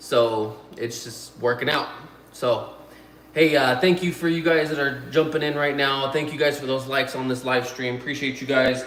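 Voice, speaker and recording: A man talks at a moderate speed in fairly even intonation, with audible room echo and noticeable background noise. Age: 30s. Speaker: YouTuber and potter. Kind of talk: live stream chat. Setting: live stream. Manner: casual, filler-heavy.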